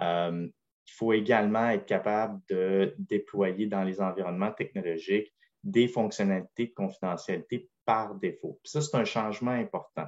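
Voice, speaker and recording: Over a quiet background, the words come at a moderate pace. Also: man. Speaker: privacy consultant presenting on a webinar panel. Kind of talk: webinar presentation.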